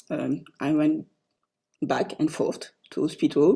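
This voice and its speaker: A woman with a French accent speaks at a fairly slow pace. Her fairly low voice has a dark, mellow tone. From France. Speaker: co-author of a book. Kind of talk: online book launch talk.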